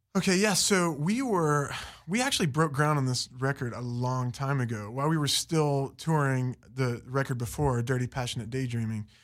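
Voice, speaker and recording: An American accent marks this man's ordinary speaking voice, pitched fairly high with ordinary pitch variation. He keeps a moderate pace with hardly any pauses, on a very clean recording with a silent background. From West Virginia (Fairmont). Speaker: musician in a band. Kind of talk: interview. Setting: studio.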